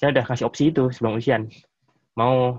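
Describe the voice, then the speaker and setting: A man speaks at a very fast pace with a medium pitch and a somewhat breathy voice. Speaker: engineering professor. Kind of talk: casual interview. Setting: video call.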